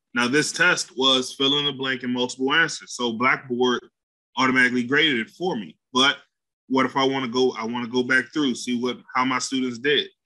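Speaking at a fairly quick pace, a man uses a medium pitch and fairly even intonation, his tone bright and sharp. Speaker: instructional consultant. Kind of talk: tutorial. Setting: video call.

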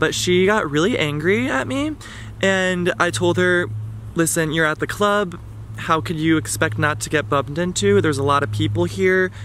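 A man speaks at a moderate pace with very wide pitch swings, in a dry recording with no echo and light background noise. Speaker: vlogger. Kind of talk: casual vlog chat, storytelling. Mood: amused, animated storytelling. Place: garden. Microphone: phone near.

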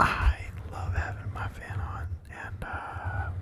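A man whispering. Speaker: ASMR creator. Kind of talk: ASMR. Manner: whispered. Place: home room. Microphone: handheld.

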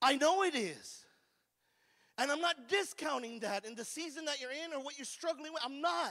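Over a quiet background, a man with an American accent and an extremely high pitch talks at a fairly quick pace in a raised, projected voice. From California. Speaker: recovery ministry preacher. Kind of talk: call-and-response revival sermon to a live recovery group. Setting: room with live audience. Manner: fervent, repetitive, exclamatory preaching with hallelujahs; folksy, conversational, stammering restarts. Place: church. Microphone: handheld.

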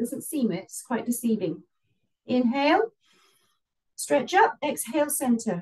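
Against a quiet background, a woman with a high voice speaks fairly slowly in a calm, relaxed tone, with very wide pitch swings and long, frequent pauses. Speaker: yoga instructor. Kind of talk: live guided yoga class, calm step-by-step cueing. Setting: video call, online class via headset. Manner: calm, instructive, relaxed and chatty between cues, with light laughs. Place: home room. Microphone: camera far.

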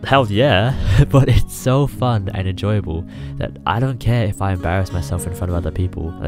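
A man's fairly low voice with ordinary pitch variation, music playing in the background. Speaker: YouTuber. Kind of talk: motivational speech. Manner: casual.

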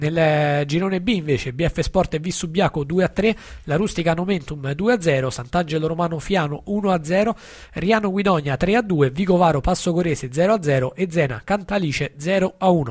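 A high-pitched man at a moderate pace, with ordinary pitch variation and very even loudness. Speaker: radio host. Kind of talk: sports results reading. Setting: studio.

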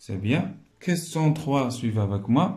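Speaking at a very slow pace, a man with a dark, mellow tone sounds somewhat breathy, his intonation lively over light background noise. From Morocco. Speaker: primary school teacher. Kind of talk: tutorial. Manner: slow, explanatory. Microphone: phone near.

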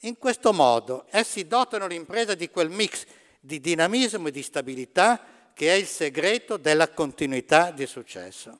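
Against a quiet background, a man with a high pitch and lively intonation talks at a moderate pace, his loudness swinging widely. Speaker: business economics professor. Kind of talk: lecture. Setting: theatre stage with audience. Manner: formal. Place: stage.

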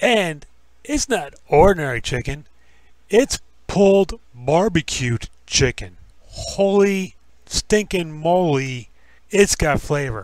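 The recording has a quiet background and a dry sound with no echo. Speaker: food reviewer. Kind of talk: casual food review vlog. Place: cafe. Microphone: phone near.

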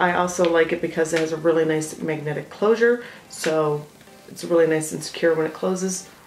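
Audible room echo over light background noise. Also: woman. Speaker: beauty vlogger. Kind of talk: casual product review chat. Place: home room.

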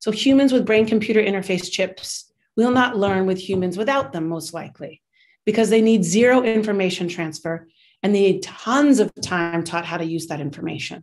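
A woman with an American accent at a moderate pace. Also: ordinary pitch variation. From United States. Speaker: university professor and teaching center director; university professor. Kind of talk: lecture. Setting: video call. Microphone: video call.

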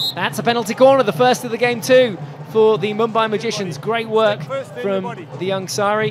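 Crowd noise fills the background. A man speaks in an upbeat, animated tone with a high pitch. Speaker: hockey commentator. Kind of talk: live sports commentary. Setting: broadcast commentary from match venue. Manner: animated, fast play-by-play, rising excitement at goals; fluent, upbeat broadcaster delivery.

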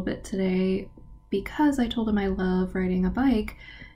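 A woman talks fairly slowly, her voice somewhat breathy with a dark, mellow tone. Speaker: travel fellowship vlogger. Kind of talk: casual vlog chat. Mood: enthusiastic, animated. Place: home room. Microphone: webcam.

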